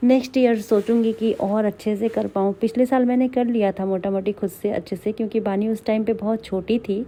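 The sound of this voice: Speaking at a fairly quick pace with few pauses, a woman uses a medium pitch, a dark, mellow tone and fairly even intonation.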